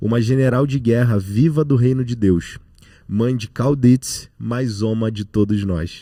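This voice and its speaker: On a very clean recording with a silent background, a man with a dark, mellow tone speaks fairly slowly at medium pitch with ordinary pitch variation. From Rio de Janeiro, Brazil. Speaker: podcast co-host. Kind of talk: podcast interview; introducing a guest.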